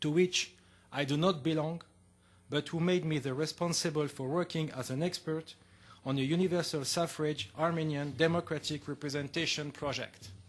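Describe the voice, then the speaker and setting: This man has a French accent and a fairly high pitch. He talks at a moderate pace with fairly even intonation against a quiet background. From France. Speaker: political science lecturer. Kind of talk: conference talk. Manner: formal.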